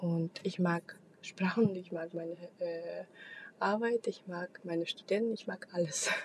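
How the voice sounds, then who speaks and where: A woman speaks at a fairly slow pace and medium pitch. Her voice is somewhat breathy, with fairly even intonation. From Kazakhstan. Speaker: podcast host. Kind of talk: solo monologue. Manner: halting, many fillers.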